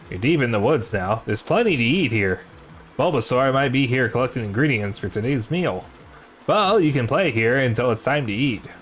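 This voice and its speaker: At medium pitch, a man puts on a character voice and talks at a fairly quick pace over clear background noise. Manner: nerdy, scholarly.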